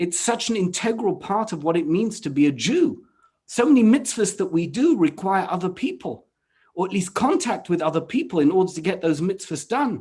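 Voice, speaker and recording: A man's high-pitched voice with a British accent and lively intonation. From England. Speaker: rabbi. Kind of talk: panel discussion.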